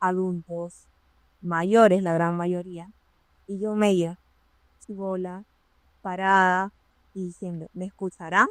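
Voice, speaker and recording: A woman at medium pitch talks at a very slow pace with long, frequent pauses, flat monotone intonation and big swings in loudness. The recording is very clean with a silent background and a dry, close sound with no echo. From Peru. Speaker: occupational safety professional. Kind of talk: interview storytelling.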